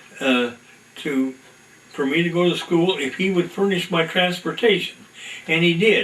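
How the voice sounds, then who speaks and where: Lively intonation in an American accent, with noticeable background noise. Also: man. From US Midwest, northeast Indiana. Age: 90s. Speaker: retired farmer. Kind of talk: oral history interview. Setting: at home. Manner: halting.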